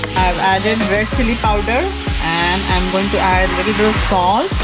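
Loud background noise fills the clip as the words come out fairly slowly. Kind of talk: cooking tutorial. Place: kitchen.

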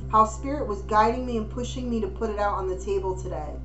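Clear music plays in the background as a woman talks. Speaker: intuitive card reader. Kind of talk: card reading commentary. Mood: warm, encouraging.

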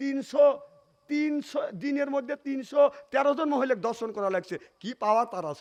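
A man speaks at an extremely high pitch. His loudness swings widely. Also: ordinary pitch variation. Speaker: Islamic preacher. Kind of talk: sermon.

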